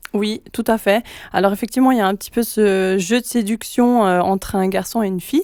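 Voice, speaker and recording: A woman with a fairly high pitch talks at a fairly quick pace with ordinary pitch variation, in a dry, close sound with no echo. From French-speaking Switzerland. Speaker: pop singer. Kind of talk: radio interview. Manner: hesitant, many fillers.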